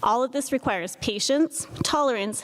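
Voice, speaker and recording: Noticeable noise sits behind a woman whose intonation is lively. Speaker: PA program faculty member. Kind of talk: award ceremony speech. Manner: fast.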